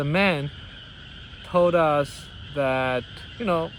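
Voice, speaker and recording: A man with a non-native accent and a fairly high pitch. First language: not English. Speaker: vlogger and businessman. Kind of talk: personal monologue. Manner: halting, with many fillers and restarts.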